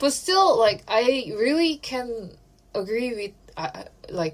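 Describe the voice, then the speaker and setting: This is a woman speaking. She has a Korean accent. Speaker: podcast co-host. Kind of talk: casual chat.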